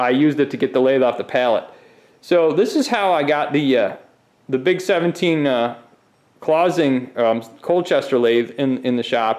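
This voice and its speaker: A man is speaking at a moderate pace. Nothing much sounds behind him. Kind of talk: casual shop tour commentary. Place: workshop. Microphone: phone near.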